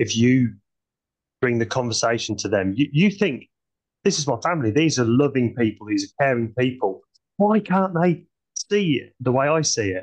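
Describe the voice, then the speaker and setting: A man speaks at a moderate pace and medium pitch, with very wide pitch swings. Long, frequent pauses break up his speech. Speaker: podcast co-host. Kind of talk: casual chat.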